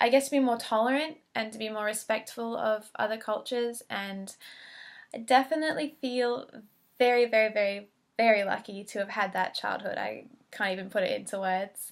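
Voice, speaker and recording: A woman's fairly high voice at a moderate pace, with ordinary pitch variation, in a very clean recording with a silent background. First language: Chinese. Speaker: allied health student. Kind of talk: application video monologue. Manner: hesitant, many fillers.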